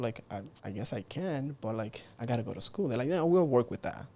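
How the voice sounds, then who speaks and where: The tone is dark and mellow. The pace is moderate. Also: man. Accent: slight Cuban. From Cuba. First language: Spanish. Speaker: entrepreneur. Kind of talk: interview conversation. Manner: animated.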